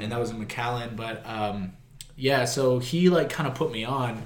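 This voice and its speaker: A man's medium-pitched voice carries audible room echo and comes through noticeable background noise. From South Texas, Corpus Christi. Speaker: deathcore vocalist. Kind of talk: casual chat.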